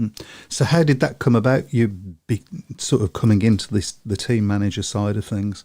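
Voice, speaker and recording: In a very clean recording with a silent background, a man with a Birmingham accent talks at a moderate pace in a dark, mellow tone, his pitch fairly low with ordinary variation. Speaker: podcast host. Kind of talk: interview.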